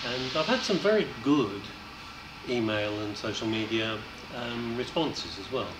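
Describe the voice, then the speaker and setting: Loud background noise sits behind a man talking at a moderate pace. His pitch varies in an ordinary way. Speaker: election candidate. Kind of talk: interview answer. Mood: pleasant, reflective.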